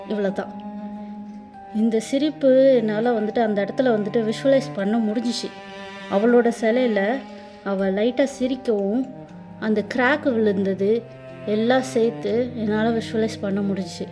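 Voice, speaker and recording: Music plays in the background as a woman speaks with a fairly high pitch. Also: ordinary pitch variation. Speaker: storyteller, voiceover narrator. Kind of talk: casual first-person dream story. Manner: casual, chatty.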